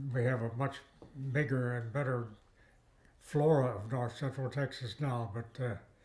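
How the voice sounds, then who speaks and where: A man at a medium pitch and moderate pace, somewhat breathy, with fairly even intonation and long, frequent pauses. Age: 90s. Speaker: retired botany professor. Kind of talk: interview. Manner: halting.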